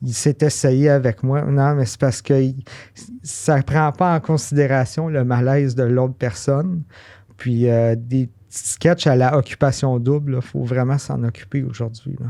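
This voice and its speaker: Speaking at a fairly slow pace, a man uses a medium pitch with a dark, mellow tone. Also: fairly even intonation. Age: 30s. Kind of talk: interview answer.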